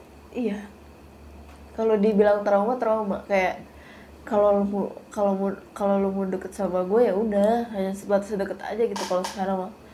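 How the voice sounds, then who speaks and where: A woman speaks in a monotone, flat intonation at a moderate pace, with audible room echo around her. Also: medium pitch for a woman. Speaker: social media influencer. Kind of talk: casual chat.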